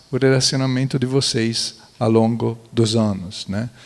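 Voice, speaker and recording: A man speaks fairly slowly in an Italian accent. His medium-pitched voice stays monotone and flat. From central Italy, near Florence. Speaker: architect and museologist. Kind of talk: panel talk. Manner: halting.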